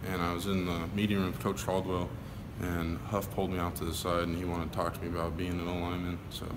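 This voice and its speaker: A quiet man with a very deep, low pitch at a very fast pace, with audible room echo. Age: young. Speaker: college football player. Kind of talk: media interview. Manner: monotone.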